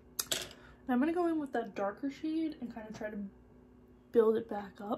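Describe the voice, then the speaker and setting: A woman talks with a high pitch and big swings in loudness. Noticeable background noise runs behind her. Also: lively intonation, moderate pace. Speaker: beauty youtuber. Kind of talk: makeup tutorial. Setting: home filming room, bright sunny day. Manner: casual, chatty.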